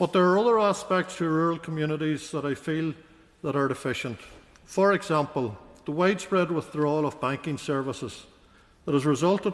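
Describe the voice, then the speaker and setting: At a fairly quick pace, a man with a Northern Irish accent speaks at a fairly high pitch with ordinary pitch variation. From Northern Ireland, County Fermanagh. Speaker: politician, peer. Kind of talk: parliamentary maiden speech. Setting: legislative chamber. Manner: formal.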